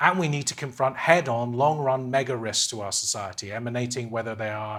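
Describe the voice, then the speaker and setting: A man with a Scottish accent speaks at a moderate pace with ordinary pitch variation. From Scotland. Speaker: economist. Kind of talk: keynote speech. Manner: halting, frequent restarts.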